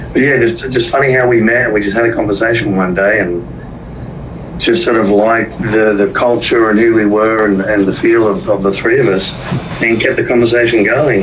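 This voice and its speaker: A man with an Australian accent talks at a fairly low pitch with fairly even intonation. Noticeable background noise and audible room echo are present. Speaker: business finance partner. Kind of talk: podcast interview.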